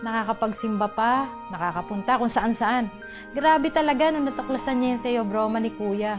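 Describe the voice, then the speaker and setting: A woman's fairly high voice at a moderate pace, with music in the background. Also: ordinary pitch variation. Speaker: neighbour and relative of the testimonial giver. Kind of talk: testimonial interview answer.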